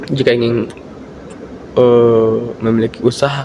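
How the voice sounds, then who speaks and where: Medium pitch from a man at a moderate pace, with noticeable background noise. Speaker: university student. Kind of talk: student presentation. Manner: uneven volume and pitch; hesitant, many fillers.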